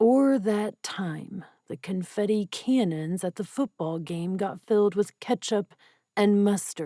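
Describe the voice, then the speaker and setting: On a very clean recording with a silent background, a woman puts on a gruff character voice at a medium pitch and a fairly slow pace. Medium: read story. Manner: gruff, taunting.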